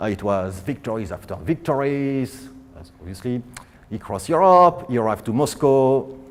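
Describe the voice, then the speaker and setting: Delivered at a moderate pace, the speech has lively intonation and big swings in loudness. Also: man, medium pitch for a man. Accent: French. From France. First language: French. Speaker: physicist. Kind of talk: public science lecture.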